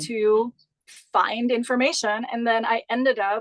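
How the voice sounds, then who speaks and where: A woman's fairly high voice, dry and close with no echo. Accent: German. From Austria, Graz. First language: German. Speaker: Pilates instructor and business founder. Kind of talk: interview.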